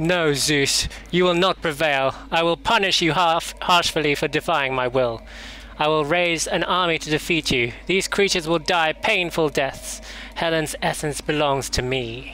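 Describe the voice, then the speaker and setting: A man uses a put-on character voice pitched fairly high. Clear background noise runs underneath. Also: moderate pace. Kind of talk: mock-epic grandeur. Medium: game stream. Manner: haughty, scornful.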